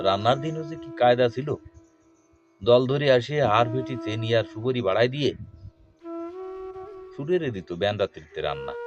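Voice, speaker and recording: Music plays in the background as a man talks at a medium pitch with ordinary pitch variation and big swings in loudness. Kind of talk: poetry reading.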